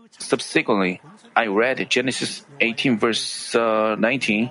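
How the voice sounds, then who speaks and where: A man talks with fairly even intonation while noticeable background noise runs underneath. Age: 70s. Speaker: missionary pastor. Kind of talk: sermon.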